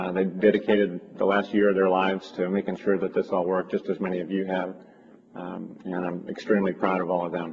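A man's very deep, low voice at a fairly quick pace, flat and monotone, over noticeable background noise. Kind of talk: public address. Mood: proud, grateful. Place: hall.

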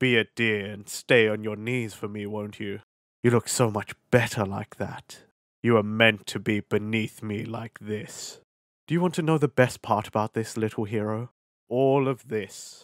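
In a very clean recording with a silent background, a man speaks at a medium pitch and moderate pace. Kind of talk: voice acting roleplay audio. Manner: mocking, condescending, possessive.

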